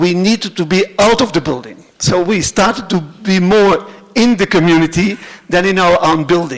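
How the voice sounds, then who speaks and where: A high-pitched man's voice with very even loudness and ordinary pitch variation. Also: moderate pace. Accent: Flemish Belgian. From Belgium (Flanders). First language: Dutch (Flemish). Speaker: cultural centre director. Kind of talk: conference presentation. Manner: halting, many fillers.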